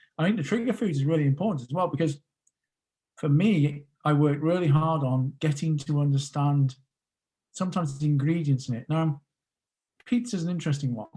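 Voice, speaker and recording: A man with a British accent speaks at a fairly high pitch, somewhat breathy, with a dark, mellow tone, ordinary pitch variation, and long, frequent pauses. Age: 40s. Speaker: podcast guest, emotional eating coach. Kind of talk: interview.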